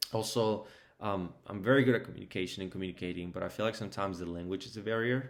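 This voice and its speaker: A man with a Spanish accent talks at a very fast pace. His fairly low pitch holds a fairly even intonation. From Mexico, moved to Georgia US at 12. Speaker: restaurant team leader. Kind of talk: mock job interview answers. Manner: hesitant, many fillers.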